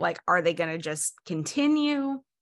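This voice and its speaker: The voice belongs to a woman. Very wide swings mark her pitch. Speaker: podcast co-host. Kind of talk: casual chat.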